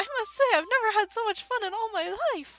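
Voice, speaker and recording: A woman puts on a character voice, extremely high-pitched and at a fairly quick pace. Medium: game stream. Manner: bubbly, delighted.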